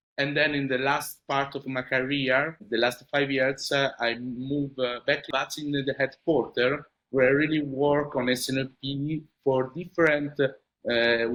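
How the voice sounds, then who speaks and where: A man with a medium pitch and an Italian accent, at a fairly slow pace. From Italy. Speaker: supply chain manager. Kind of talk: interview. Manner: hesitant, many fillers.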